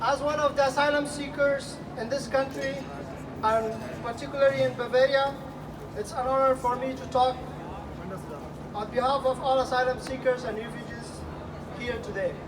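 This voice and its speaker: Speech moves at a moderate pace with long, frequent pauses. Noticeable background noise sits behind it. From Afghanistan. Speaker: asylum seeker speaker at public event. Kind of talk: public speech. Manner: halting.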